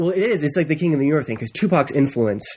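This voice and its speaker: Talking at a very fast pace, a man sounds somewhat breathy. His intonation is lively. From US East Coast. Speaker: writer. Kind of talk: casual chat. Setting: studio.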